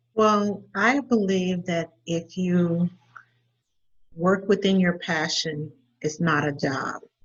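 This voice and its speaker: In a Southern US accent, a woman speaks at a very slow pace with long, frequent pauses, her fairly low pitch showing ordinary variation. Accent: Southern drawl. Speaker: podcast host. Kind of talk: casual chat. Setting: phone call. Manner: hesitant, filler-heavy.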